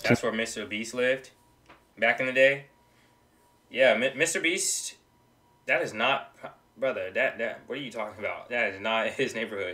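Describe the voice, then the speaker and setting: Moderate pace from a man, with long, frequent pauses and big swings in loudness. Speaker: reaction video creator. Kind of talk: casual reaction commentary. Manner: animated. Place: home room.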